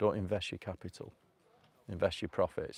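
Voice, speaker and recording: On a very clean recording with a silent background, a man with a Manchester accent speaks at a moderate pace and fairly even intonation. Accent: northern English (Manchester). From northern England, North Manchester. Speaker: self-improvement vlogger. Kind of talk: casual live vlog. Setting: outdoors. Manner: rambling, hesitant.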